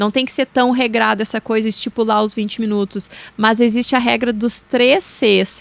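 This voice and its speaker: A woman with a southern Brazilian accent speaks in a fairly high pitch with ordinary pitch variation. The sound is dry and close, with no echo. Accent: gaúcho (southern Brazilian). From Rio Grande do Sul, Brazil. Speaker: therapist. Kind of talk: podcast interview.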